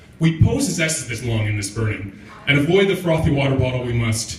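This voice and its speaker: Noticeable background noise runs under a man's voice. He speaks at a moderate pace with very wide pitch swings. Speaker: spoken word poet. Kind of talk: comic spoken word performance. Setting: live open mic venue.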